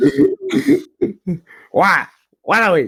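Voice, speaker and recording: A man performs in a put-on character voice. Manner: mischievous, exaggerated.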